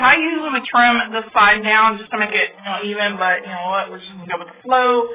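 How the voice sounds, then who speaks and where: Speaking very fast, a woman uses a fairly high pitch and lively intonation. Noticeable background noise runs behind her. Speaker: craft tutorial youtuber. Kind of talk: tutorial.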